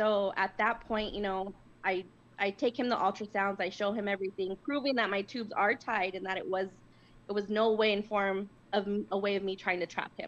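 A woman with a plain, everyday voice talks at a fairly quick pace, her medium pitch moving in fairly even intonation. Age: 30s. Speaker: caller. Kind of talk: testimony. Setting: phone call.

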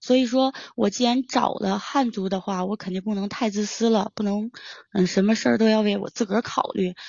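A woman with an ordinary speaking voice talks at a fairly quick pace. Her pitch is fairly high, and her intonation is fairly even. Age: 20s. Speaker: caller. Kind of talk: personal account.

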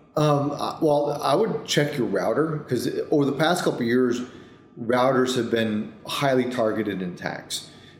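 A man with an American accent speaks at a medium pitch, with audible room echo. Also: ordinary pitch variation, moderate pace. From upstate New York. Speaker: cybersecurity executive. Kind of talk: interview. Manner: repetitive false starts.

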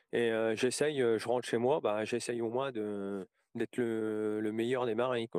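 A monotone, flat intonation comes at a fairly slow pace. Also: man, medium pitch for a man. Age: 40s. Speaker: interviewee sharing personal story. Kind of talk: testimony. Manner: halting.

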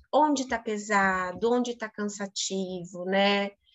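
This woman has an unremarkable speaking voice, medium pitch and ordinary pitch variation. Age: 30s. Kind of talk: casual chat.

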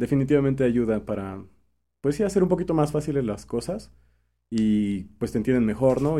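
This man speaks at a moderate pace with a Mexican accent. His tone is dark and mellow, and his intonation is lively. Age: 20s. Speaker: musician and songwriter. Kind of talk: casual interview.

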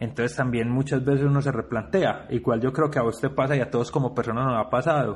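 Somewhat breathy and fairly quick, this man's voice sits at a medium pitch. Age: 40s. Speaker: rock festival curator and musician. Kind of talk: interview.

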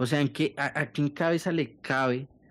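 Very clean, with a silent background, the recording holds a man's plain, everyday voice. He talks at a fairly slow pace. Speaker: podcast co-host. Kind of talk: casual chat.

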